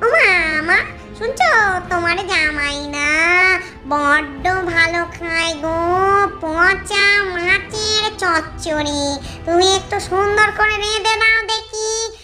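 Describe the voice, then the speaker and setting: Over clear background music, a female-sounding cartoonish character voice speaks very slowly at an extremely high pitch. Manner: gushing, excitable.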